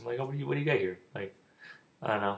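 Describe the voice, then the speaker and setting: Somewhat breathy, this man's voice swings very widely in pitch. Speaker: youtuber giving dating advice. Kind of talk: casual vlog monologue. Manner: rambling, repetitive.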